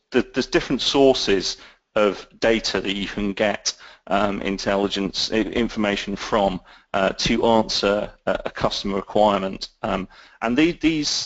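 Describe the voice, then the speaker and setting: A man with a British accent, medium in pitch, at a fairly slow pace. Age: 30s. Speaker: intelligence analyst and author. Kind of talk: interview. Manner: halting, many fillers.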